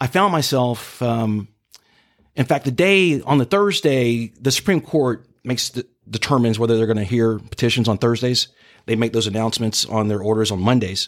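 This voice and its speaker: With an American accent, a man talks in a plain, everyday voice at medium pitch and a moderate pace, using lively intonation. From Jacksonville, Florida (Mandarin). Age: 50s. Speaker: civil rights activist. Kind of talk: interview.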